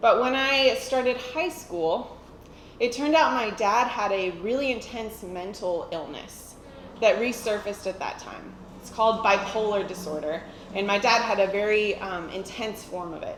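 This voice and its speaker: Noticeable background noise and audible room echo surround a woman speaking with a fairly high pitch at a moderate pace. Her intonation is lively, with big swings in loudness. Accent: American. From United States. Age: 30s. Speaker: church member giving testimony. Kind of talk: testimony.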